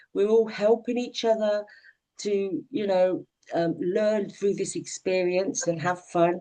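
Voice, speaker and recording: Very slowly, a woman speaks at medium pitch with a dark, mellow tone and ordinary pitch variation. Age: 60s. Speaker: online community owner. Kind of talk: casual chat.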